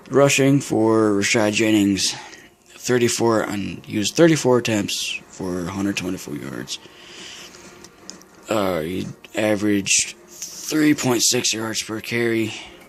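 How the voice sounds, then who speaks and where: With noticeable background noise behind him, a man with a fairly low pitch speaks at a very slow pace, leaving long, frequent pauses, his pitch variation ordinary. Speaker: gaming video commentator. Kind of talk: casual game stats commentary. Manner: halting, many fillers.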